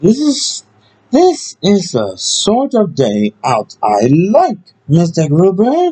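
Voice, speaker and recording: A man puts on a high-pitched character voice and talks very slowly. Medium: read story. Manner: polite, earnest.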